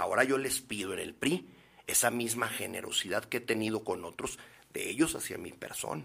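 Lively intonation marks this man's medium-pitched speech at a moderate pace. His tone is bright and sharp. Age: 50s. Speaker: politician. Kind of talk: interview.

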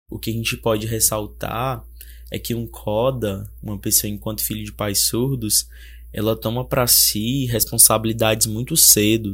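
A man talks at a moderate speed. The recording is very clean, with total silence behind him. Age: 20s. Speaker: sign language interpreter. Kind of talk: personal testimony.

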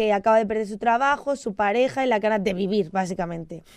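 A woman speaks in an ordinary speaking voice with fairly high pitch. Her pitch varies in an ordinary way, and the background is quiet. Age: 20s. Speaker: student radio host. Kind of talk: radio show chat. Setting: studio.

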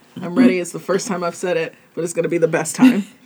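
A woman in a put-on character voice, raspy and fairly low in pitch, at a very fast pace. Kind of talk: polished, radio-host style. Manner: smooth podcast host delivery.

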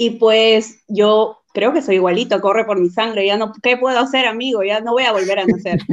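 With an ordinary speaking voice, a woman speaks at a moderate pace and a fairly high pitch, her intonation fairly even. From Peru, Huacho (born Chiclayo). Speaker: clothing store entrepreneur. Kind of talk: casual interview. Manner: laughs often.

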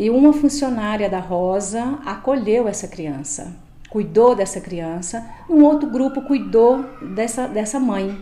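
A woman with a fairly high voice speaks very slowly, her intonation lively, with audible echo in the room. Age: 50s. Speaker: shelter supervisor. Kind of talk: interview.

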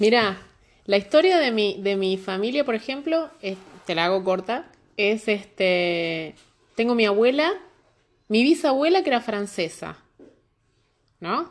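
A woman with a Rioplatense accent speaks at a fairly slow pace in a fairly high pitch, her voice swinging very widely in pitch and broken by long, frequent pauses. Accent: Argentine Spanish (rioplatense). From Argentina. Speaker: immigrant guest. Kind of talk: casual chat.

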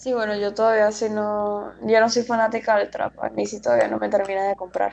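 The woman moves along at a fairly quick pace. Pauses barely appear in her speech. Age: 20s. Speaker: podcast co-host. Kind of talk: casual chat.

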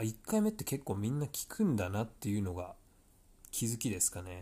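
Recorded very cleanly against a silent background, a man speaks at a moderate pace. His voice is medium in pitch, somewhat breathy, with a dark, mellow tone. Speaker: tennis coach and podcast host. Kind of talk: solo podcast monologue. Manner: casual with frequent fillers.

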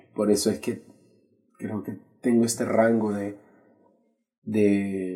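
A man with a Salvadoran accent speaks at a fairly low pitch in a dark, mellow tone with fairly even intonation. His pace is very slow, with long, frequent pauses. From El Salvador, San Salvador. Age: 30s. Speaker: graphic artist. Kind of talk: casual interview. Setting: small room, seated on the floor.

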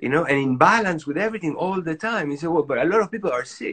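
Lively intonation from a man with a Spanish accent, bright and sharp in tone. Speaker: doctor, author. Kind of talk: interview, casual chat.

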